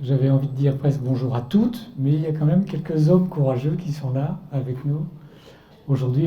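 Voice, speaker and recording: Audible room echo surrounds a man whose fairly high pitch shows ordinary pitch variation. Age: 60s. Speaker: author and artist giving a Lenten talk. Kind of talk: testimony talk to a church audience.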